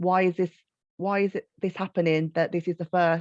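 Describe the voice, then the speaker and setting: With a Birmingham accent, a woman speaks at a moderate pace and fairly low pitch in a monotone, flat delivery. The background is quiet, and the sound is dry and close with no echo. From Birmingham, England. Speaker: children's author. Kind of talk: panel discussion.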